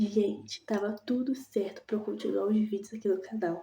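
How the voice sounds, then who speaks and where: Over noticeable background noise, a soft-spoken woman talks at a moderate pace with a fairly high pitch. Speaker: vlogger. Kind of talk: casual vlog chat.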